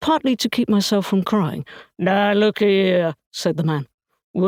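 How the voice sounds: Natural reading voice, quiet background, pitch varying in an ordinary way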